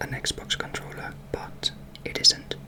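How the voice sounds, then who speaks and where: Whispering against noticeable background noise. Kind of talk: ASMR whisper ramble to camera. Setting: bedroom. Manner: whispered, soft-spoken.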